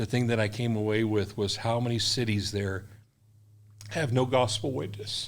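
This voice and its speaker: Room echo can be heard as a man speaks at a moderate pace. He has an American accent and a medium pitch. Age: 60s. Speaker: missionary. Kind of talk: interview. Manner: animated.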